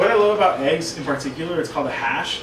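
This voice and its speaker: Amid noticeable background noise and audible room echo, a man talks fairly quickly with ordinary pitch variation. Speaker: college student web series host. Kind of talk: casual tutorial. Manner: fast; animated.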